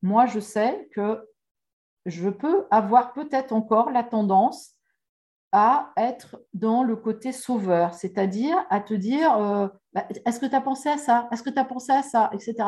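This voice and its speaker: A woman speaks fairly slowly, with long, frequent pauses and lively intonation. Her voice is somewhat breathy, with a dark, mellow tone and fairly high pitch. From France. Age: 50s. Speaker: life coach. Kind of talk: interview.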